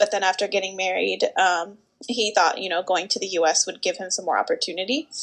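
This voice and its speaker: At a fairly quick pace, a woman speaks at a medium pitch in a normal speaking voice. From US South, Georgia (Atlanta area). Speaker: speech-language pathologist. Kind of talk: interview. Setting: video call.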